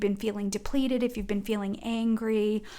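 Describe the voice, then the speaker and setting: A woman speaks with a New England accent in a flat, monotone way. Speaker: oracle card reader. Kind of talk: spiritual guidance talk. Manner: fast.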